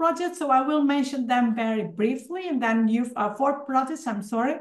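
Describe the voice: Speaking at a moderate pace, a woman uses a high pitch and ordinary pitch variation.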